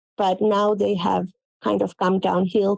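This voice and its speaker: With a Finnish accent, a woman speaks at a fairly slow pace in a dark, mellow tone of medium pitch, the sound dry and close with no echo. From Finland. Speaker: quilt pattern designer. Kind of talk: interview.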